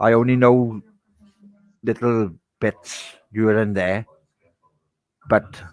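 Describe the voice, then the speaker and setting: The speech comes at a very slow pace with long, frequent pauses and a monotone, flat intonation, in a dry, close sound with no echo. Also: man, medium pitch for a man. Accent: strong Welsh. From Wales. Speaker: podcast co-host. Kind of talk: casual chat.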